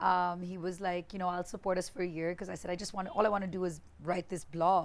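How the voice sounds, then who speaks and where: The woman speaks at a very fast pace. Her medium-pitched voice has a monotone, flat intonation. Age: 40s. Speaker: digital media entrepreneur and former radio DJ. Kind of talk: podcast interview.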